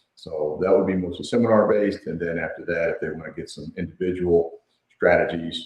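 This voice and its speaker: A man talks at a very fast pace. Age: 60s. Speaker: performance and longevity consultant. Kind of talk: interview. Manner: hesitant, many fillers.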